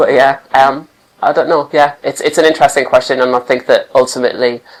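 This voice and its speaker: A man's fairly high-pitched voice, monotone and flat in intonation, at a fairly quick pace. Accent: Geordie. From Newcastle, northern England. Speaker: catwalk participant. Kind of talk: interview. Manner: halting.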